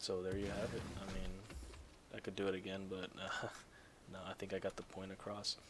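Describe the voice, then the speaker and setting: Over noticeable background noise, a man with a fairly low pitch talks at a fairly quick pace in a monotone, flat delivery. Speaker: gaming YouTuber. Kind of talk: gameplay tutorial. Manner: soft, hushed.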